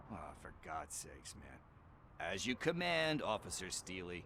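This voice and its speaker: A man's put-on character voice, very deep and low yet raspy and nervous in tone, at a fairly slow pace with very wide pitch swings, big swings in loudness and clear background noise. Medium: video game. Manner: casual, slangy, nervous.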